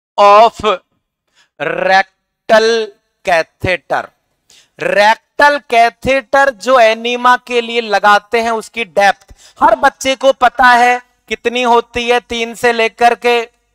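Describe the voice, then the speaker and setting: Talking at a very slow pace, a man has a bright, sharp tone. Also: ordinary pitch variation, quiet background. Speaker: nursing exam teacher. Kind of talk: lecture. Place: studio. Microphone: headset.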